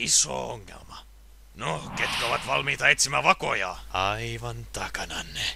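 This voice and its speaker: Over clear background noise, a man does a put-on character voice, raspy and very deep in pitch, with very wide pitch swings. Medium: dub.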